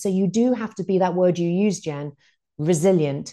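A woman with a British accent speaks in a dark, mellow tone at a fairly low pitch and a moderate pace. Her pitch variation is ordinary, and the background is quiet. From UK. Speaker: author and former TV news producer. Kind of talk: interview.

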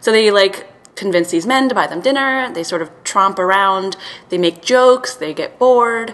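With lively intonation, a woman talks at a moderate pace over noticeable background noise. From Serbia. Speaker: film title design writer and editor. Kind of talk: casual chat.

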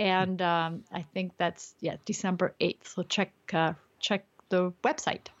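A non-native accent at a very slow pace. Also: woman, medium pitch for a woman. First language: not English. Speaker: street photographer and teacher. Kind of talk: casual interview. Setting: remote call. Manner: frequent laughter.

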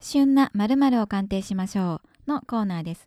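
In a very clean recording with a silent background, a woman talks at a moderate pace in a dark, mellow tone at a medium pitch. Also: dry, close sound with no echo. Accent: Kansai. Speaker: radio show co-host assistant. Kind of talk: casual chat; scripted announcement.

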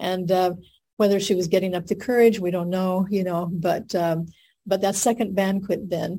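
A woman speaks with an American accent. Her voice has a dark, mellow tone and is somewhat breathy. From US Southwest (Albuquerque, New Mexico). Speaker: marriage and family therapy professor, Sunday school teacher. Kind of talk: scripture lesson on a video call. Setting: video call.

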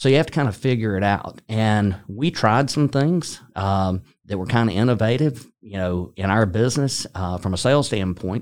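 Over a silent background in a very clean recording, a man with a plain, everyday voice speaks at a moderate pace and fairly low pitch, using lively intonation and hardly any pauses. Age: 60s. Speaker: sales executive. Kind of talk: interview. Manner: conversational, with frequent fillers.

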